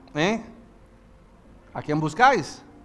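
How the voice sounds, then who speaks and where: A man talks at a moderate pace. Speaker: pastor. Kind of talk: sermon. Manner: animated.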